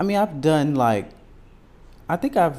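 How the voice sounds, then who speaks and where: This man's tone is dark and mellow. His intonation is lively. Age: 20s. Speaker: podcast co-host. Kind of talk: casual chat.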